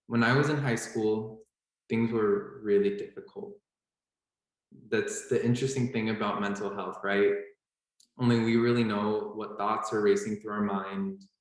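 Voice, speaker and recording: A man with an American accent talks at a moderate pace and a fairly low pitch. His intonation is monotone and flat, and audible room echo can be heard. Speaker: medical student. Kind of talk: panel talk.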